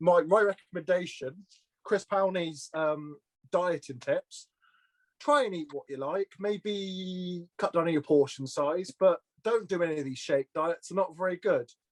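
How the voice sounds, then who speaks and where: Speaking at a fairly slow pace with a slight Welsh accent, a man has a high pitch and ordinary pitch variation, in a dry, close sound with no echo. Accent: slight Welsh twang. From Shropshire, England (Shrewsbury). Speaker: petrol station worker. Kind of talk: casual interview. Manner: halting, with fillers and repeats.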